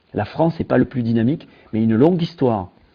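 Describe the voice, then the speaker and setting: A man with lively intonation, medium pitch, and a moderate pace. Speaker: tech company founder. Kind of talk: interview. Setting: video call. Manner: hesitant, many fillers.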